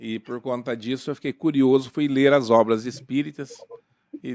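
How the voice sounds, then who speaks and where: Talking at a fairly slow pace, a man uses a plain, everyday voice and ordinary pitch variation. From Paraná, Brazil (Jacarezinho). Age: 60s. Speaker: spiritist lawyer. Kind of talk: podcast interview.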